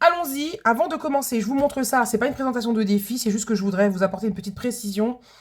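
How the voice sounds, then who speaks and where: A woman's fairly high voice at a very fast pace with ordinary pitch variation. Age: 40s. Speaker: budgeting vlogger, food truck owner. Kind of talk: casual vlog chat. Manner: hesitant, many fillers.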